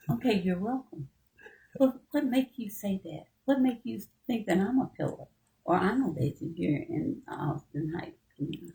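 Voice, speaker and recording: A woman speaks at a medium pitch and a moderate pace, her dark, mellow tone touched by vocal fry. Her pitch swings very widely. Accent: American. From Texas. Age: 70s. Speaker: community elder. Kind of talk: interview.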